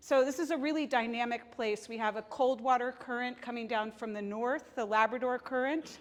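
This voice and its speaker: Her pitch moves with ordinary variation. The woman keeps to a moderate pace. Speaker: marine biologist giving a talk; seabird guide giving a talk. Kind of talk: presentation. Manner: loud. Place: meeting room. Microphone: lapel.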